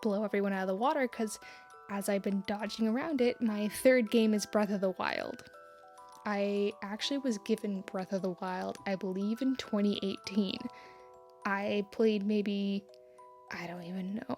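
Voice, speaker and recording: Music plays in the background as a woman speaks quietly at a medium pitch and moderate pace, with ordinary pitch variation. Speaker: artist. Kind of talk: casual talk to camera.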